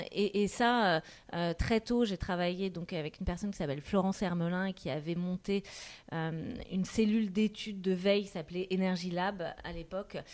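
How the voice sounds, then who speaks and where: Using a plain, everyday voice, a woman speaks at a moderate pace with medium pitch and fairly even intonation. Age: 40s. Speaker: marketing director. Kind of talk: interview.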